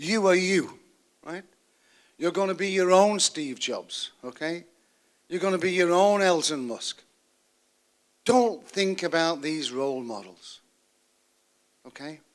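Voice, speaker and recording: An animated tone in a British accent, fairly slow pace, ordinary pitch variation and big swings in loudness. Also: man, high pitch for a man. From United Kingdom. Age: 70s. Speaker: university advisor, speaker. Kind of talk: seminar talk to students. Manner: animated, conversational.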